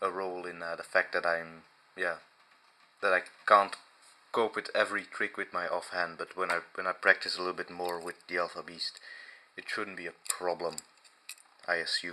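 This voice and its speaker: With long, frequent pauses, a man with a non-native accent speaks at a very deep, low pitch and moderate pace, his bright, sharp tone held to a monotone, flat intonation. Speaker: knife reviewer. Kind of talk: casual talk to camera. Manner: hesitant, many fillers.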